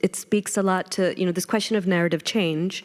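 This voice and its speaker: The woman's voice sits at a medium pitch. She talks in an American accent. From United States. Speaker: panel moderator. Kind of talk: panel discussion. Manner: hesitant, many fillers.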